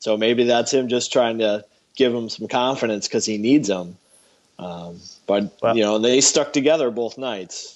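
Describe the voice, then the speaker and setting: Using a normal speaking voice, a man talks at a medium pitch and moderate pace with ordinary pitch variation. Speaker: co-host sports podcaster. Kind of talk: casual sports podcast chat. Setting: remote call with poor connection.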